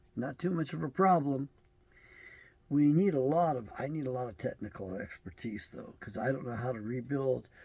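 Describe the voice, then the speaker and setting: A man with an American accent speaks at a medium pitch and a moderate pace. His voice is somewhat breathy, with lively intonation. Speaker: self-published bible editor and commentator. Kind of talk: video monologue.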